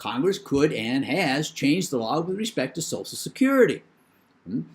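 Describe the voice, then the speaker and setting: A man talks at a moderate pace with a fairly high pitch. His pitch swings very widely on a very clean recording with a silent background. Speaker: professor. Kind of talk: lecture.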